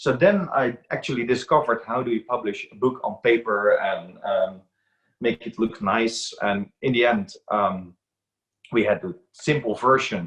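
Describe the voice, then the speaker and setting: Talking at a fairly slow pace, a man with a Dutch accent has a medium pitch and lively intonation. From Netherlands. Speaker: aquarium book author and reef expert. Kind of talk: interview.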